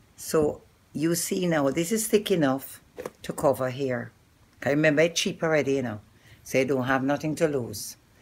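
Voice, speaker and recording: A woman's very deep, low voice in a Jamaican accent, with lively intonation at a moderate pace, in a very clean recording with a silent background. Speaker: hair and beauty vlogger. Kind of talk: tutorial. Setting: filmed by a camera operator. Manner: casual, chatty.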